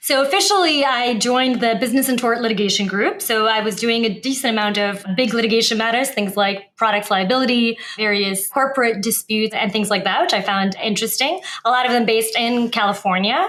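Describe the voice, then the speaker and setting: Against noticeable background noise, a woman with a fairly high pitch talks at a fairly quick pace with hardly any pauses and very even loudness. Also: ordinary pitch variation. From Moldova, then US from age about 10. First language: Romanian. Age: 30s. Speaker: lawyer, former prosecutor. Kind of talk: podcast interview.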